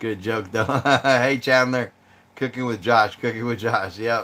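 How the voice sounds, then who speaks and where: A man's bright, sharp tone at a medium pitch. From Arizona. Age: 50s. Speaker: outdoors YouTuber. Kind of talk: live stream chat with viewers. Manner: casual, relaxed.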